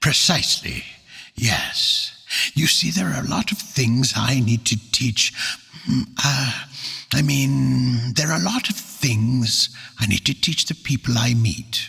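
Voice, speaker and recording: Using a put-on character voice at medium pitch, a man talks at a fairly slow pace. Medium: read story. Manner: polite, formal.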